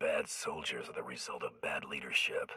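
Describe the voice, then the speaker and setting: A man puts on a raspy, menacing character voice at an extremely high pitch, speaking at a moderate pace. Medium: video game. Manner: terse, dry, menacing.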